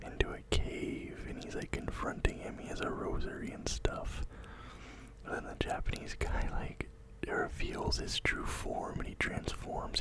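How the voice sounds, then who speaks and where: A soft-spoken man whispers at a fairly slow pace. Loud background noise fills the recording. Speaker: film reviewer. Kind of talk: casual movie recap commentary. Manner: soft close-mic whisper. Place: home room. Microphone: studio mic.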